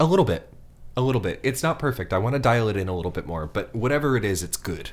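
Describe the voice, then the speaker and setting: A man with a medium pitch and a somewhat breathy voice, very wide pitch swings and a very fast pace. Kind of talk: casual chat; prepared monologue. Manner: slightly slurred.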